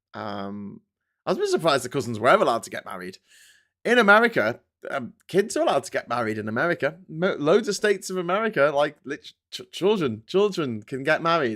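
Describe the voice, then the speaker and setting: Pitched fairly high, a man talks at a very fast pace with very wide pitch swings and big swings in loudness. The recording is very clean, with a silent background. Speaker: political commentator and live streamer. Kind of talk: casual live-stream commentary. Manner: conversational, irreverent, rambling.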